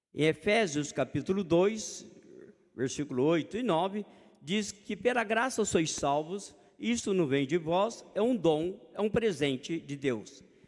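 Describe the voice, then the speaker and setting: A high-pitched male voice at a fairly slow pace, with lively intonation. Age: 60s. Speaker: preacher. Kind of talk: sermon. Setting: church.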